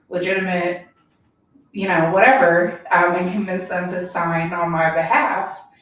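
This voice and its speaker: With audible room echo around her, a woman speaks at a fairly slow pace in a fairly low pitch, her intonation fairly even. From Kentucky, Louisville east end. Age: 40s. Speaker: political candidate. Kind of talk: interview. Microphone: too far from the mic at first.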